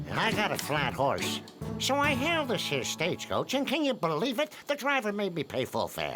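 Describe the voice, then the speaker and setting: A cartoonish character voice speaks in a fairly high pitch at a moderate pace. Clear music plays in the background. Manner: whiny, comic.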